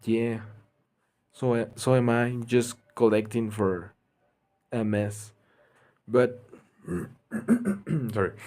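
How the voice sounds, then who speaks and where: Very slowly and with long, frequent pauses, a man with a Spanish accent speaks in a monotone, flat way at a medium pitch with a dark, mellow tone. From Mexico. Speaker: gaming streamer. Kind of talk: live gameplay stream chat. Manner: halting, self-correcting. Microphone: bad microphone.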